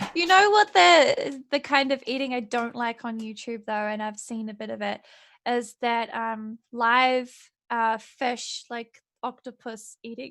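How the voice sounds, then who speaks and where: A woman's high voice in a New Zealand accent, at a fairly slow pace with ordinary pitch variation and big swings in loudness, over a very clean recording with a silent background. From New Zealand, Napier. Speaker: streamer guest. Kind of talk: casual chat.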